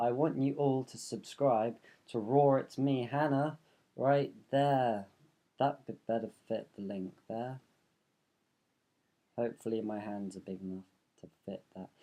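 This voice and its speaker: With long, frequent pauses and big swings in loudness, a man speaks at a fairly slow pace in a dark, mellow tone with ordinary pitch variation. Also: medium pitch for a man. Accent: London. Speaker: vlogger. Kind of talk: casual vlog monologue. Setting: bedroom. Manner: animated. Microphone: room echo.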